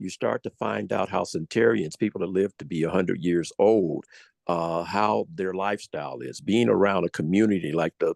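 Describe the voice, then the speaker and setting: This man's voice is very deep and low, with vocal fry and ordinary pitch variation at a fairly quick pace. The sound is dry and close with no echo, over a quiet background. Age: 70s. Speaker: wellness product distributor. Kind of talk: testimony. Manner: halting, many filler words.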